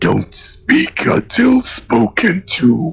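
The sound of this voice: In a put-on character voice, a man speaks with a high, shrill pitch.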